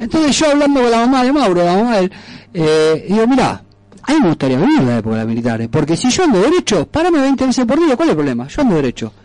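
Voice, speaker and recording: A man talks very fast in a high pitch with very wide pitch swings but very even loudness. Noticeable background noise is present. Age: 40s. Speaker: radio host. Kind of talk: casual radio chat.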